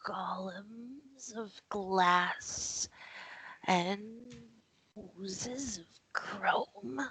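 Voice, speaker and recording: A woman puts on a character voice at a medium pitch with ordinary pitch variation. She speaks very slowly, with long, frequent pauses. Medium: actual play. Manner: curt, sullen.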